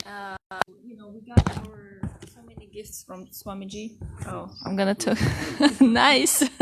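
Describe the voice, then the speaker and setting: A woman with a Russian accent at a fairly slow pace, over noticeable background noise. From southern Russia. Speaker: spiritual devotee. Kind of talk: interview. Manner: halting.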